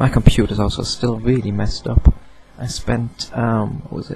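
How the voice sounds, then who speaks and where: There is noticeable background noise as a man of medium pitch speaks at a moderate pace. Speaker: video blogger. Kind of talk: casual vlog monologue. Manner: rambling with hesitations.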